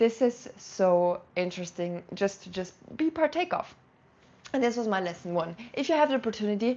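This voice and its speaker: A woman with a German accent, a fairly high pitch, an animated tone and very wide pitch swings. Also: moderate pace. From South Tyrol, northern Italy. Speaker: language and culture vlogger. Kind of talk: casual vlog talk to camera. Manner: halting, with fillers.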